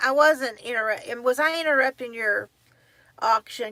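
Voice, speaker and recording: Speaking at a moderate pace, a woman with a Southern US accent has a bright, sharp tone and ordinary pitch variation. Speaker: livestream host. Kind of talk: casual chat. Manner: halting.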